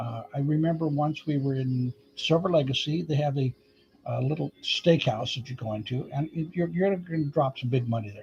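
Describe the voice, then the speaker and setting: This man's voice sits fairly high. It has a somewhat breathy quality. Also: ordinary pitch variation, moderate pace. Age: 70s. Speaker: vlogger. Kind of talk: casual chat. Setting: live stream. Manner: halting.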